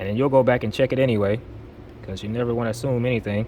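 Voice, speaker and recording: Here a man speaks at a very fast pace. His pitch is medium, with ordinary pitch variation. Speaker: drafting instructor. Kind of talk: tutorial. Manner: casual, conversational.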